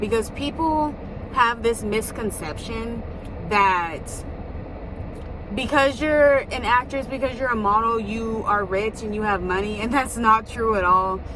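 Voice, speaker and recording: A woman speaks at a moderate pace with a fairly high pitch and ordinary pitch variation. Audible room echo and noticeable background noise accompany her. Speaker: vlogger, actress and model. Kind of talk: casual vlog talk. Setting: in a car.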